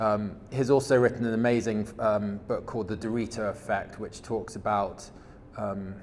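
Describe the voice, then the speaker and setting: There is audible room echo around this man's voice. He speaks at a fairly low pitch with monotone, flat intonation. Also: moderate pace. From England. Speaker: supply chain executive in regenerative agriculture. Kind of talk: conference presentation. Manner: hesitant, many fillers and repetitions.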